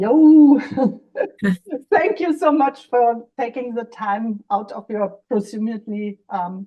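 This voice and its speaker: A woman with a German accent, fairly high in pitch, lively in intonation, at a very slow pace. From Germany, West Berlin. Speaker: podcast co-host. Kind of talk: casual discussion. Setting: video call from her kitchen.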